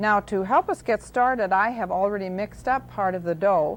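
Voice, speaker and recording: At a moderate pace, a woman talks in an ordinary speaking voice of medium pitch and ordinary pitch variation, on a very clean recording with a silent background. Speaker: cooking show host. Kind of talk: TV cooking demonstration. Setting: studio. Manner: friendly, calm, instructional.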